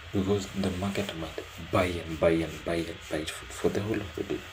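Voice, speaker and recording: A man's very deep, low voice at a moderate pace with fairly even intonation, amid noticeable background noise and audible room echo. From Kenya. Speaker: day trader streaming his trades. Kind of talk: casual live commentary.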